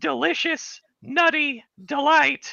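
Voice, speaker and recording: The voice is a put-on character voice. It sits at a high pitch. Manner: very serious.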